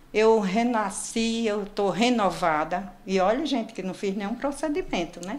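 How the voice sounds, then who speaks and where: Amid noticeable background noise and audible room echo, a woman speaks with a fairly high pitch and ordinary pitch variation. Her pace is fairly slow, with hardly any pauses. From Brazil, Northeast (João Pessoa, Paraíba). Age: 60s. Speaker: patient sharing weight-loss story. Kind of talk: interview testimony.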